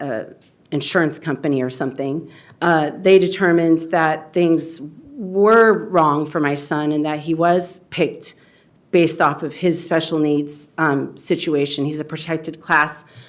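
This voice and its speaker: Using fairly even intonation, a woman with a very deep, low voice speaks at a fairly slow pace. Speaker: parent, public commenter. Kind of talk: public comment at school board meeting. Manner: slow, halting.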